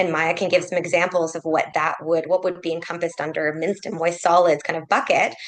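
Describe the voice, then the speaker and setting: A woman with a fairly low pitch talks at a very fast pace with hardly any pauses, her intonation monotone and flat, over noticeable background noise. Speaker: clinical ethicist. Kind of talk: case presentation in a webinar. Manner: loud.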